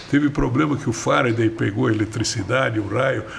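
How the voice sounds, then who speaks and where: Over noticeable background noise, a man speaks at a moderate pace in a fairly low voice with ordinary pitch variation. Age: 70s. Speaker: politician, former mayor and mayoral candidate. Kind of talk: podcast interview.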